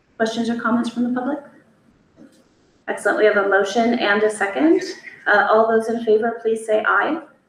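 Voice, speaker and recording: A woman with a fairly high pitch and ordinary pitch variation speaks at a fairly quick pace but with long, frequent pauses, in a room with audible echo. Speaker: school board chair. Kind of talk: board meeting chairing. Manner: formal.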